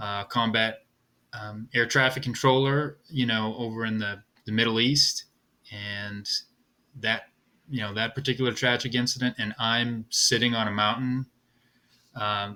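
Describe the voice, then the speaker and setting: Speaking at a fairly slow pace with long, frequent pauses, a man delivers his words in a monotone, flat intonation, with a medium pitch and a bright, sharp tone. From Massachusetts (Lowell). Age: 50s. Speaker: endurance athlete and hiker. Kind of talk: podcast interview. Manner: halting.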